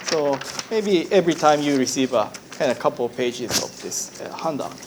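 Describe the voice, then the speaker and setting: Against noticeable background noise, a man with a Japanese accent speaks at a fairly quick pace and fairly high pitch with ordinary pitch variation. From Japan, Hiroshima. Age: 40s. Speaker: Buddhist minister. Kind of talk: lecture. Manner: halting.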